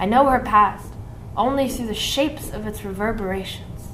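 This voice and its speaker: Against noticeable background noise, a woman speaks at a fairly high pitch and a moderate pace with fairly even intonation. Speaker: poet. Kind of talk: spoken word poetry performance.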